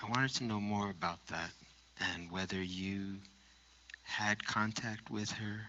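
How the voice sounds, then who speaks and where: With an American accent, a man speaks at a fairly low pitch and a fairly slow pace. His intonation is fairly even, broken by long, frequent pauses. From New York. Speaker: audience member. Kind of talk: audience question.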